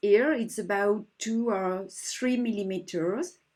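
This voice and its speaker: A woman's dark, mellow tone at a very slow pace, with a French accent. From France. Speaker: embroidery teacher. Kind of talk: tutorial.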